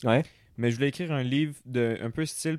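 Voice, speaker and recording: Fairly even in intonation, a man speaks with a Quebec accent in a dry, close sound with no echo. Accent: Québécois French. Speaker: podcast co-guest, theatre person. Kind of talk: casual chat.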